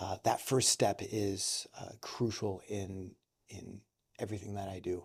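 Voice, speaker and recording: A man speaks in a flat monotone at a fairly slow pace, his pitch fairly low. The recording is very clean, with a silent background. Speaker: children's ministry leader at a church. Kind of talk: casual interview. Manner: loud; hesitant, many fillers.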